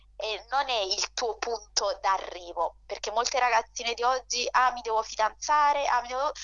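With noticeable background noise behind her, a woman speaks at a moderate pace with hardly any pauses and ordinary pitch variation. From Naples, Italy. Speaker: debut novelist. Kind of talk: radio interview.

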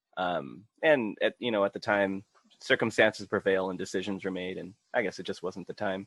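A man with an American accent and an unremarkable speaking voice talks at a moderate pace, fairly low in pitch with ordinary pitch variation, in a dry, close sound with no echo. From US, Filipino and Mexican heritage. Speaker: podcast guest. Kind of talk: casual chat.

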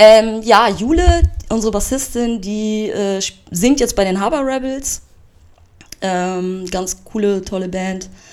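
A woman's fairly high voice at a very slow pace, with long, frequent pauses and ordinary pitch variation. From Hamburg, northern Germany. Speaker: tattoo artist and graffiti artist. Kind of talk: casual interview chat.

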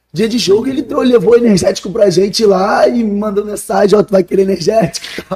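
A man at a high pitch, fairly quick in pace, with hardly any pauses and ordinary pitch variation. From Rio de Janeiro, Brazil. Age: 20s. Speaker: professional footballer. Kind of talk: casual chat.

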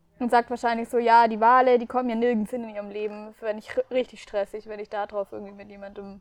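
In a dry, close sound with no echo, a woman rattles on at a very fast pace with hardly any pauses, her fairly high pitch held in a monotone, flat intonation while her loudness swings widely. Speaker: podcast co-host. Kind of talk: casual chat. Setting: outdoors in a garden.

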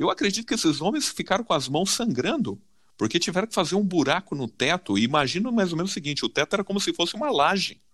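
A man speaks very fast in a high voice. His pitch swings very widely, and the recording is very clean with a silent background. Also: dry, close sound with no echo. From Brazil, São Paulo (south zone). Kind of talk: Bible study discussion.

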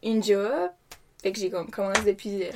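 A woman with a Quebec accent. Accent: Québécois French. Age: 20s. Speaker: care attendant. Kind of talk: casual chat.

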